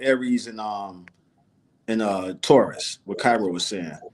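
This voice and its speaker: With lively intonation, a man in a New Orleans accent speaks at a moderate pace. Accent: New Orleans accent picked up. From Florida. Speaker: talk show co-host. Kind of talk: casual chat.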